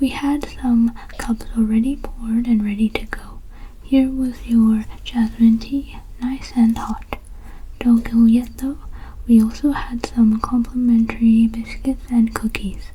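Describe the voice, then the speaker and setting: The voice is soft-spoken, with a calm, soothing tone at a fairly slow pace. Noticeable background noise can be heard. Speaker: ASMR content creator. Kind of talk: customer-service roleplay talking to the viewer as a bookstore worker. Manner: soft-spoken, calm, soothing.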